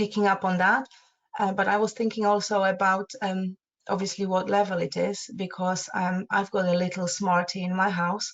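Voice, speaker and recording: At a moderate pace, a woman of medium pitch speaks in a flat monotone with a Polish accent. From Poland. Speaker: parenting support co-presenter. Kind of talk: advice webinar discussion. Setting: online webinar. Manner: halting, many fillers.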